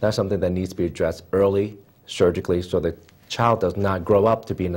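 A man with an American accent, very deep, low pitch, fairly even intonation and a very fast pace. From Philadelphia, Pennsylvania; Pennsylvania. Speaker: podiatrist; guest. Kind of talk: TV interview. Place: studio. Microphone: lapel.

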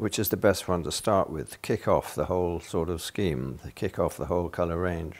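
With vocal fry, a man speaks at a moderate pace in a very deep, low pitch. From Britain. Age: 80s+. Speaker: painter. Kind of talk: thinking aloud while painting. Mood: thoughtful, slightly frustrated. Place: studio.

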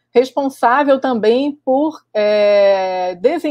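The tone is dark and mellow against a quiet background. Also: woman. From Brazil, Rio de Janeiro. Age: 40s. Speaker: microbiology professor. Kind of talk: online lecture. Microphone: webcam.

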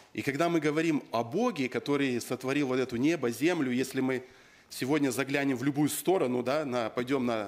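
His pitch varies in an ordinary way as a man speaks at a fairly quick pace. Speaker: preacher. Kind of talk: sermon. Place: church. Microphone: podium.

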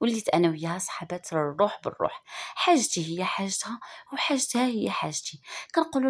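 A woman with a Moroccan accent speaks at medium pitch, somewhat breathy, with very wide pitch swings, in a very clean recording with a silent background. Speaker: YouTube storyteller. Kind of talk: first-person storytelling.

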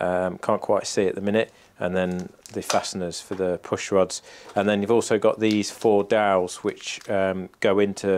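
In a British accent, the speaker goes at a moderate pace with monotone, flat intonation over light background noise. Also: man, fairly low pitch for a man. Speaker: RC model plane YouTuber. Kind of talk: build tutorial. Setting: home workshop. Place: workshop.

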